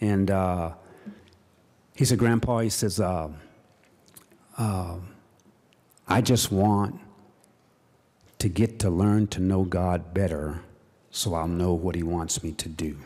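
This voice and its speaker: A man speaks with a very deep, low pitch and a dark, mellow tone. He goes at a fairly slow pace with long, frequent pauses. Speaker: state legislator. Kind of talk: floor speech. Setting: legislative chamber. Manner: halting, many fillers.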